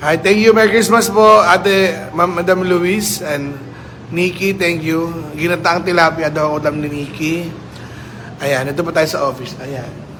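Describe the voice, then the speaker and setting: A man talks fairly slowly in a high voice with ordinary pitch variation. Noticeable background noise and audible room echo surround him. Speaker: town mayor. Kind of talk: casual livestream chat. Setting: office. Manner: halting.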